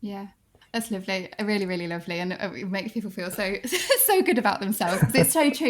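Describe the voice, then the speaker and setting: At a fairly quick pace, a woman talks in a normal speaking voice with a fairly high pitch. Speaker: podcast host, former teacher. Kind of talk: podcast interview conversation.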